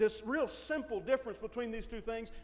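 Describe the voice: Someone simply reads a text aloud.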